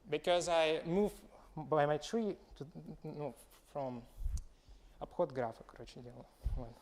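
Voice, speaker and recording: In a Russian accent, the speech moves at a moderate pace with ordinary pitch variation. Loudness swings widely, and there are long, frequent pauses. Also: man, fairly high pitch for a man. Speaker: student presenting a proof. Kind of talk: seminar presentation. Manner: halting.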